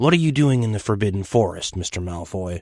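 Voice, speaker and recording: In a put-on character voice, a man rattles along very fast at a fairly low pitch with lively intonation, on a very clean recording with a silent background. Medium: read story. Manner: loud, clear and formal.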